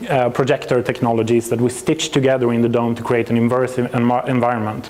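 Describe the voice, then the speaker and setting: A man with a Swedish accent, very fast, medium-pitched, in a monotone, flat delivery with very even loudness over noticeable background noise. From Sweden. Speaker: planetarium software company representative, astrophysicist. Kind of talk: presentation to an audience. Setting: venue with audience.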